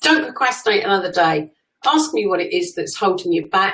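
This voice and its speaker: A woman with an English accent. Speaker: social media coach. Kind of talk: live stream talk. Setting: live stream. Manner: loud; talkative.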